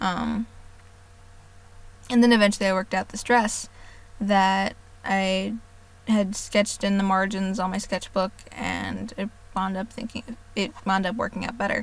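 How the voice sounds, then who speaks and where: A woman's medium-pitched, monotone voice at a fairly slow pace, with long, frequent pauses and flat intonation, on a very clean recording with a silent background. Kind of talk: casual voice-over narration of a drawing video. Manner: hesitant, many filler words.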